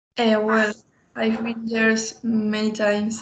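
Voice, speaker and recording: Audible room echo surrounds a woman's voice. She speaks in a flat monotone at a fairly high pitch. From Spain, Asturias. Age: 20s. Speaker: business student. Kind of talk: group presentation on a video call. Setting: video call. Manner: halting, many fillers.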